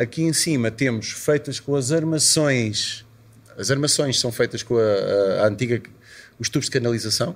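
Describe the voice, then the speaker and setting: An unremarkable speaking voice from a man, medium in pitch, with ordinary pitch variation, a moderate pace and very even loudness. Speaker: musician and club owner. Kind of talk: interview. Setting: at his club venue.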